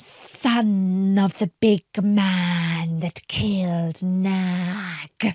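In a put-on character voice, a woman at medium pitch talks at a very slow pace with hardly any pauses, hissing and fairly even intonation, in a dry, close sound with no echo. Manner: hissing, triumphant.

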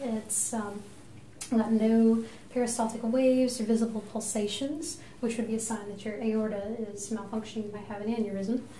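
Soft-spoken and calm in tone, a woman with a fairly high pitch talks at a moderate pace with fairly even intonation, amid audible room echo and light background noise. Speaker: nurse practitioner. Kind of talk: clinical head-to-toe assessment narration, unintentional ASMR. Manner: soft-spoken, calm, explanatory. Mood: calm, reassuring. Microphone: phone near.

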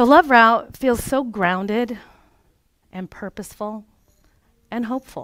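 Her voice is fairly high, with ordinary pitch variation and big swings in loudness, and a woman talks at a fairly slow pace with long, frequent pauses. The sound is dry with no echo, against a quiet background. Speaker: life coach and former childcare provider. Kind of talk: workshop presentation. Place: meeting room.

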